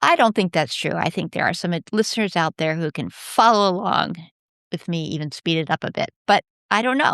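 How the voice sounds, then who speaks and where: A woman talks at a fairly quick pace and fairly low pitch, with lively intonation. The sound is dry and close with no echo, over a quiet background. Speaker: podcast host. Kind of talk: podcast interview. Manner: abrupt cadence.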